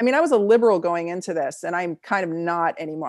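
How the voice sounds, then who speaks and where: Speaking at a very fast pace, a woman uses a fairly low pitch with ordinary variation. The recording is very clean, with a silent background. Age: 40s. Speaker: naturopathic doctor and chiropractor. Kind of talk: interview.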